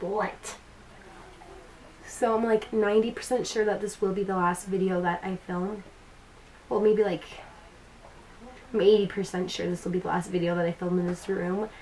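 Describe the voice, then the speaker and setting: Amid noticeable background noise, a woman at medium pitch speaks with long, frequent pauses. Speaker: beauty vlogger. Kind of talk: makeup tutorial. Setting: bedroom at home. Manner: casual, chatty.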